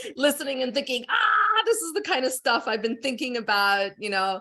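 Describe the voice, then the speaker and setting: A woman's bright, sharp tone stands out against a quiet background. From outside the UK. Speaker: university lecturer. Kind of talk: seminar discussion contribution. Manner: animated.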